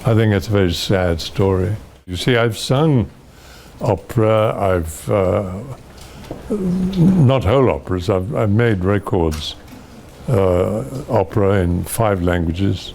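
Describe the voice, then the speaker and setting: Amid noticeable background noise, a man with a fairly low pitch speaks at a very slow pace with long, frequent pauses. His intonation is lively and his loudness very even. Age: 80s+. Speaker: actor. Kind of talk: interview answer.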